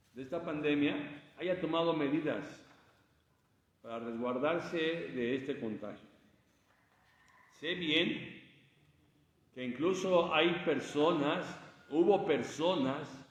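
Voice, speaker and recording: A man speaks very slowly, his pitch fairly high with ordinary variation. Room echo is audible. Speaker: preacher. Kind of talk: sermon. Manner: halting. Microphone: speaking without microphone.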